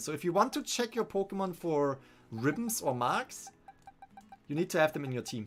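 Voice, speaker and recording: Someone speaks at a fairly quick pace in a German accent. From Germany. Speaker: gaming streamer. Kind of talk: live stream commentary. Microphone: studio condenser mic.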